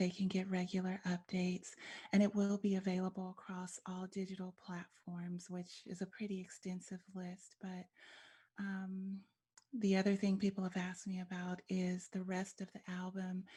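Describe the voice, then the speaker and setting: A dark, mellow tone, somewhat breathy, stays monotone and flat at a moderate pace. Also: woman, medium pitch for a woman. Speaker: spoken word artist. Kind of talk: interview answer.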